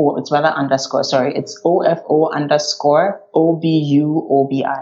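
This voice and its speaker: Very deep, low-pitched speech from a woman at a fairly slow pace, over background music. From Ghana. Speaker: graphic designer. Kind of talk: interview conversation.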